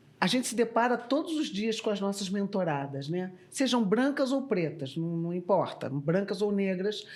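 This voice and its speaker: A woman with a plain, everyday voice speaks at medium pitch with lively intonation. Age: 60s. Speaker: former corporate executive and board member. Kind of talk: podcast interview.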